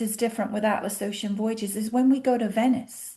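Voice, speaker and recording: A woman with a British accent speaks in a high pitch, her dark, mellow tone carrying ordinary pitch variation. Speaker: cruise line representative. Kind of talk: interview. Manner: animated.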